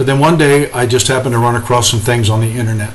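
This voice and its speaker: Very fast speech with fairly even intonation, audible room echo and noticeable background noise. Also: man. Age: 60s. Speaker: pastor.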